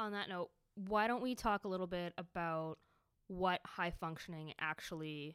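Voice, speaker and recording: A woman speaks at a moderate pace in a normal speaking voice, her fairly low pitch showing ordinary pitch variation, on a very clean recording with a silent background. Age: young. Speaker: podcast co-host. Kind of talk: casual chat. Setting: public library room.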